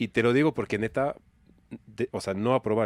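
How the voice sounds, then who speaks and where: Dry and close with no echo, a man's voice carries lively intonation at a moderate pace. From France. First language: French (speaking Spanish). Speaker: business organization director. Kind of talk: casual podcast interview.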